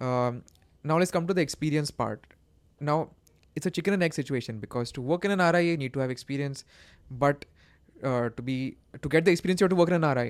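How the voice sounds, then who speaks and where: On a very clean recording with a silent background, a man with a fairly high voice talks at a very fast pace broken by long, frequent pauses. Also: ordinary pitch variation. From India, Pune. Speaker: financial journalist and editor. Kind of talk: interview.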